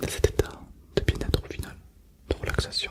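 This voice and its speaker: Whispering from a man at a moderate pace, with noticeable background noise. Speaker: ASMR hypnosis guide. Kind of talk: hypnosis relaxation guidance.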